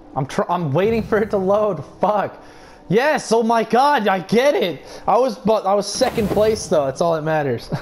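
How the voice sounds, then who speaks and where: High-pitched male voice at a moderate pace, over noticeable background noise. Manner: explosive, expletive-laden outbursts at opponents; frustrated yelling broken by sudden laughter.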